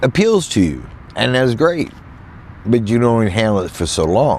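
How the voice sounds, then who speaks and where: In an American accent, a man's voice makes very wide pitch swings. Audible room echo and noticeable background noise surround it. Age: 60s. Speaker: van life vlogger. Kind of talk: casual vlog monologue. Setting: in a van in a field. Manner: halting, repetitive.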